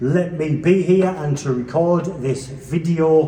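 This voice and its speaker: Speaking in an English accent, a man with a fairly high pitch is heard with audible room echo and noticeable background noise. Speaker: organ enthusiast video presenter. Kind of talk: informal demonstration tour. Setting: church. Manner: relaxed, hesitant with fillers.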